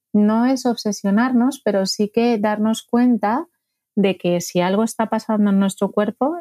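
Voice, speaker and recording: A woman's dark, mellow tone comes through a very clean recording with a silent background and a dry, close sound with no echo, at a fairly slow pace with ordinary pitch variation. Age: 40s. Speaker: gastroenterologist. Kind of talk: interview.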